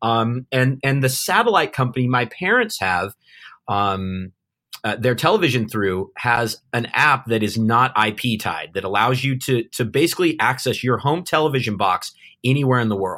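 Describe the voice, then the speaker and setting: On a very clean recording with a silent background, a man speaks with a Californian accent at a moderate pace. His medium-pitched voice has a bright, sharp tone and ordinary pitch variation. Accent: Californian American English. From Southern California. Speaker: remote-work company founder. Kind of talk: interview conversation. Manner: halting, many fillers and repeats.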